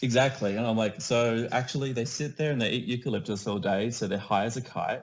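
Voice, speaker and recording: A man in an Australian accent, with fairly even intonation. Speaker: community builder. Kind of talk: casual chat.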